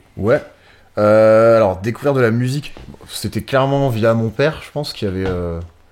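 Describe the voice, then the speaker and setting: With a normal speaking voice, a man talks at a medium pitch and a moderate pace, his pitch varying in an ordinary way. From northern France, Pas-de-Calais near Cambrai. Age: 30s. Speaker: music booker and festival organizer, drummer. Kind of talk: podcast interview.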